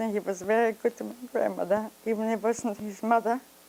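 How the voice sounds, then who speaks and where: A woman's fairly high voice at a moderate pace, fairly even in intonation, with noticeable background noise. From Poland, Grodno. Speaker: Holocaust survivor. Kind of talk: testimony. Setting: interview. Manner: halting.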